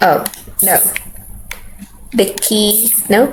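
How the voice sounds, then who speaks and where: A woman with a non-native accent amid noticeable background noise. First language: not English. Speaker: streamer. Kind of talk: gameplay commentary. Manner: halting.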